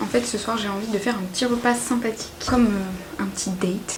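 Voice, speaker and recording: Amid clearly audible background noise, a woman whispers at a fairly brisk rate. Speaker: home cook vlogger. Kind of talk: casual cooking vlog talk to camera. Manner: whispered.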